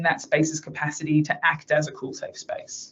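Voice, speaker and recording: A woman with an Australian accent, her voice somewhat breathy. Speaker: researcher presenting at a webinar. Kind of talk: online presentation. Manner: fast.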